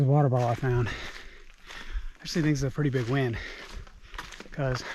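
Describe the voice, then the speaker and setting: A man's medium-pitched voice comes through with audible room echo and noticeable background noise. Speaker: hiking vlogger. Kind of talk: vlog narration. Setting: outdoors on a rainy mountain trail. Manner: casual.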